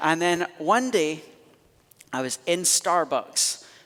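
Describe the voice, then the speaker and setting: In a Scottish accent, a man speaks with lively intonation. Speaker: pastor. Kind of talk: sermon. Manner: animated.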